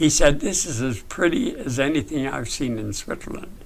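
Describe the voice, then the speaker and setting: Noticeable background noise under a man's moderate pace. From British Columbia, Canada. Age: 80s+. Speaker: retired logger and author. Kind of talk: interview answer.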